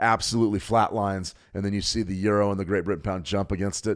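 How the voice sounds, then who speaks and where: A man with an American accent and a fairly low voice speaks very fast with fairly even intonation, in a very clean recording over a silent background. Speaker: trading educator. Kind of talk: livestream market analysis. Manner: casual with self-corrections.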